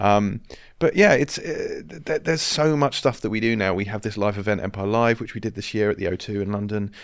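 On a very clean recording with a silent background, a man talks at a fairly quick pace with ordinary pitch variation. He has an ordinary speaking voice, pitched fairly low. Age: 40s. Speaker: film magazine editor. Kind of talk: casual interview.

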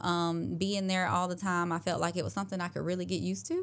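In a very clean recording with a silent background, a woman with an American accent has a normal speaking voice, a fairly low pitch and ordinary pitch variation. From South Carolina. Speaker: business owner, virtual administrative assistant. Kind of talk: casual interview. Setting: studio, in person.

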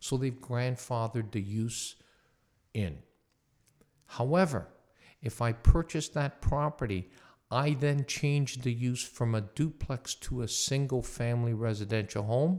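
Speaking at a medium pitch with ordinary pitch variation, a man goes at a fairly slow pace with long, frequent pauses. The recording is very clean, with a silent background. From Hamilton, Ontario, Canada. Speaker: real estate lawyer. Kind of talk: interview, explaining legal topics.

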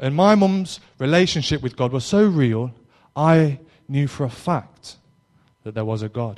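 A man with an East Midlands accent, fairly high-pitched and lively in intonation, at a fairly slow pace with long, frequent pauses. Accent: East Midlands English, noticeable. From Derby, East Midlands England. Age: 20s. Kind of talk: testimony. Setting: live talk to young audience. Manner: informal, slightly hesitant.

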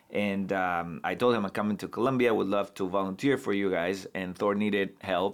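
Hardly pausing, a man talks at a moderate pace and a fairly low pitch with fairly even intonation. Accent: Spanish. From Bolivia. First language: Spanish. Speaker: human rights lawyer and law professor. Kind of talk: casual interview conversation. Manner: halting, many fillers and repetitions.

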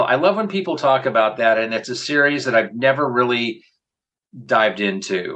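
Bright, sharp tone from a man at a medium pitch, with lively intonation and a moderate pace. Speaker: podcast host. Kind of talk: casual podcast discussion.

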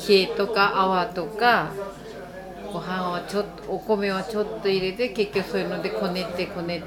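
Amid crowd noise in the background and audible room echo, a woman with a medium pitch talks at a fairly slow pace. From Iwate, Japan (Nishine, foot of Mt. Iwate). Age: old. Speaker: sushi restaurant cook. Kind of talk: interview.

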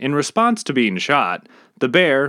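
A man speaks in an ordinary speaking voice with lively intonation at a moderate pace. The recording is very clean, with a silent background. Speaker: podcast host and storyteller. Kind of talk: mythic narration, storytelling. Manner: measured, vivid storyteller pacing; earnest, reflective.

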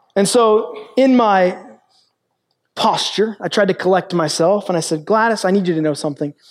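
A man speaks with a high pitch and ordinary pitch variation. The recording is very clean, with a silent background. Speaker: pastor. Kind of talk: sermon. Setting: stage with audience. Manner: fast.

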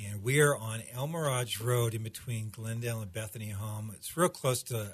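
A man with a medium-pitched voice. It comes across somewhat breathy. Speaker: pastor. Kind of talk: casual interview chat. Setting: studio.

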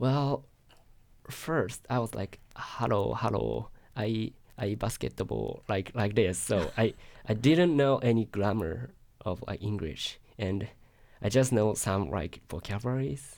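A man with a Japanese accent speaks at a very slow pace with a fairly low pitch and vocal fry. His intonation is lively, on a very clean recording with a silent background. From Japan, Yokohama. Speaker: international student. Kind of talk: interview. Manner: halting.

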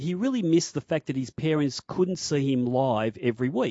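With an Australian accent, this speaker talks at a fairly quick pace with ordinary pitch variation. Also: man. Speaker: sports radio host. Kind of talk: radio interview. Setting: studio.

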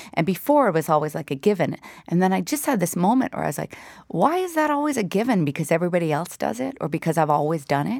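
A woman's fairly low voice at a very fast pace with very wide pitch swings, on a very clean recording with a silent background. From Newfoundland and Labrador, Canada. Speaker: singer-songwriter. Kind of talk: casual interview.

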